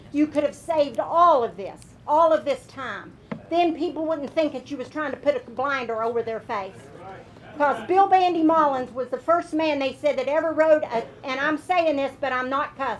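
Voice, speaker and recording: Over noticeable background noise, a woman with an Appalachian accent speaks at a moderate pace in a high pitch with ordinary pitch variation. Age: 60s. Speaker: retired coal miner, public commenter. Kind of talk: public comment at county meeting. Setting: meeting room podium. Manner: animated.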